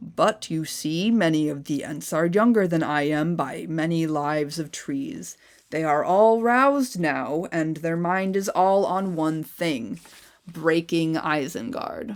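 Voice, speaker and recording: A rumbling, put-on character voice at a middle pitch moves along at a fairly slow pace. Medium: read story. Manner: slow, rumbling, humming pauses.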